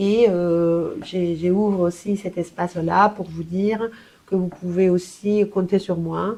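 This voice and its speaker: In a Spanish accent, the voice moves at a very slow pace with monotone, flat intonation and a dark, mellow tone. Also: woman, medium pitch for a woman. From Colombia. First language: Spanish (speaking French). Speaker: language therapist. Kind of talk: professional self-presentation. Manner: hesitant, many fillers.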